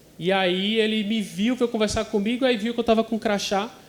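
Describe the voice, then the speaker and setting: A man with a northeastern Brazilian accent, speaking at a fairly quick pace. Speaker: occupational physician. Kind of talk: conference presentation.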